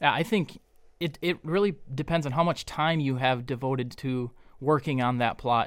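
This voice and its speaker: Heard on a very clean recording with a silent background, a man in a plain, everyday voice talks at a moderate pace and medium pitch with fairly even intonation. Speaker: deer biologist. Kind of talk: casual interview.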